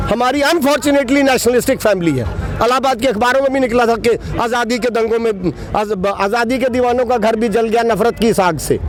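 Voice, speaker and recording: Over noticeable background noise, a man with an extremely high pitch talks at a moderate pace, with ordinary pitch variation and very even loudness. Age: 60s. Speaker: property owner, protester. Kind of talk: street interview, complaint.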